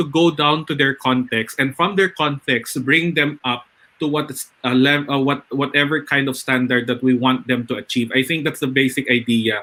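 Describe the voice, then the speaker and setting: A man speaks with a Filipino accent. His pitch is fairly high. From northern Philippines. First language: Ilocano. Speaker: webinar host, educator. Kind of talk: live webinar panel discussion.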